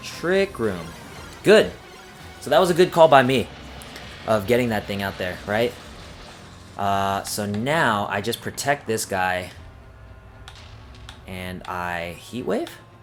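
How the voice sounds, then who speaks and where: Music plays in the background as a man with a fairly low voice speaks at a very slow pace with lively intonation, big swings in loudness, and long, frequent pauses. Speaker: gaming youtuber. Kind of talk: live gameplay commentary. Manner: hesitant, many fillers and restarts.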